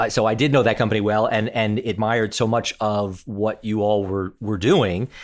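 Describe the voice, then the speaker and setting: In an unremarkable speaking voice, a man talks at a moderate pace and a fairly low pitch. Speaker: podcast host. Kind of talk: interview.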